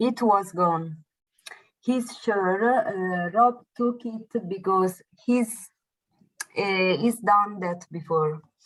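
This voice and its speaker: With an Italian accent, a woman talks at a very slow pace with long, frequent pauses. Her pitch is medium with ordinary variation. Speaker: adult English student. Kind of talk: reading aloud. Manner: halting.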